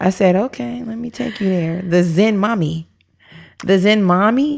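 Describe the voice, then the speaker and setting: With lively intonation, a woman speaks fairly slowly. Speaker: podcast co-host. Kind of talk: casual chat.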